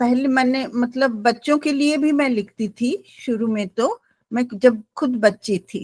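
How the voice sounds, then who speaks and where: Recorded with a dry, close sound and no echo, a woman speaks in a high pitch with ordinary pitch variation. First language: Gujarati (speaking Hindi). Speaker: writer, poet and translator. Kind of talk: panel discussion interview. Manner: hesitant with fillers.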